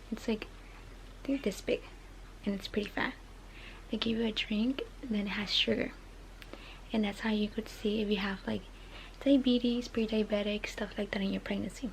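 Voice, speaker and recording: A quiet woman speaks at a fairly high pitch and a fairly quick pace with fairly even intonation. Long, frequent pauses break her speech over noticeable background noise. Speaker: vlogger. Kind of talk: casual vlog monologue. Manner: fast.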